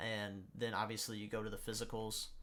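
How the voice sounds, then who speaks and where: Bright and sharp in tone, a man talks at a fairly low pitch. His intonation stays monotone and flat. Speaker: gaming YouTuber. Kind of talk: gameplay tutorial. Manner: fast; halting, with stutters and pauses.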